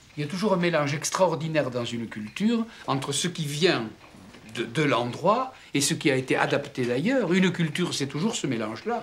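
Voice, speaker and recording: At a moderate pace, a man with a plain, everyday voice speaks at a fairly high pitch. His intonation is lively. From France. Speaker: writer. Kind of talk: discussion.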